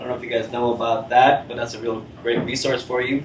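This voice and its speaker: Audible room echo and noticeable background noise surround the speaker. He is a man with an upstate New York accent. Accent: US Northeast (upstate New York). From Rochester, New York, US. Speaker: meetup organizer. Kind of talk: event introduction to audience. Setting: meetup room with live audience. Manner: casual, many filler words.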